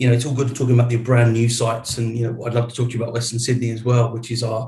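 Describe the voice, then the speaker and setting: Somewhat breathy and monotone, a man with an English accent talks at medium pitch with audible room echo. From England. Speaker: data center executive. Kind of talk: interview.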